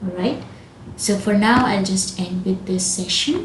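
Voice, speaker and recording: Over noticeable background noise and audible room echo, a woman speaks at a medium pitch. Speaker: programming teacher. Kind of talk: tutorial. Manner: slow.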